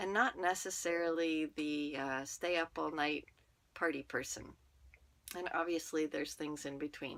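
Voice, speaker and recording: A soft-spoken woman talks with a very deep, low pitch and fairly even intonation on a very clean recording with a silent background. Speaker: network marketer and podcaster. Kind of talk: personal monologue. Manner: slow.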